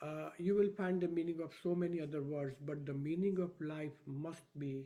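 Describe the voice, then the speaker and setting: A dark, mellow tone moves at a fairly slow pace with ordinary pitch variation. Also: man. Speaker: professor of Vedic science. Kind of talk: lecture. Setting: video call. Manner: soft-spoken; quiet. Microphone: too quiet.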